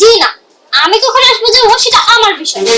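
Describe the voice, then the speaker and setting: A woman's squeaky, put-on character voice, extremely high in pitch, with lively intonation at a moderate pace. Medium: short film. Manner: measured, dignified.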